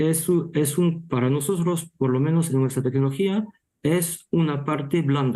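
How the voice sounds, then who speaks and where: This man has a fairly high pitch and a dark, mellow tone. He talks at a fairly slow pace with ordinary pitch variation. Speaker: meat technology speaker. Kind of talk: panel Q&A answer. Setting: virtual panel. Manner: halting, many restarts.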